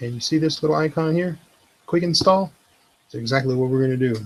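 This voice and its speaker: The man's voice sits at a medium pitch. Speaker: web tutorial creator. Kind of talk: tutorial. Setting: live video stream. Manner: quiet, subdued; monotone.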